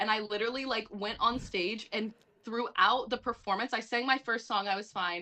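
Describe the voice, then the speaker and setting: An ordinary speaking voice with an American accent shows ordinary pitch variation. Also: woman. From US South, Atlanta. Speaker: musical theatre actress. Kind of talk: casual chat.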